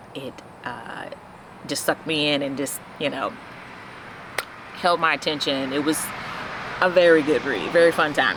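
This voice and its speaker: A woman with a very deep, low pitch, at a moderate pace with long, frequent pauses and fairly even intonation, over noticeable background noise. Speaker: book vlogger. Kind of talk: casual chat.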